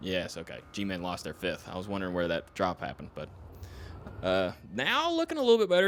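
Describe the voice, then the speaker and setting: Here a man talks in a Southern US accent. He moves at a fairly quick pace. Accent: southern twang. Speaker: esports co-caster. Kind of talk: live commentary. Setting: live stream.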